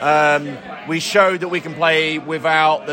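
Noticeable background noise runs under a male voice. His pitch moves in an ordinary way. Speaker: football fan. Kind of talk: post-match analysis.

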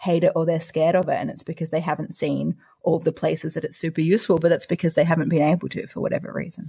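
A woman's very fast, somewhat breathy delivery in an Australian accent, dry and close with no echo. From Australia, Adelaide. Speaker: applied mathematician and science podcaster. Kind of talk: casual interview chat.

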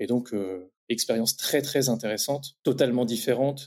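A man talks at a moderate pace in a plain, everyday voice. His pitch is medium, with ordinary variation. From France, Champagne-Ardenne (Reims). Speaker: entrepreneur in beekeeping. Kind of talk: interview about career path.

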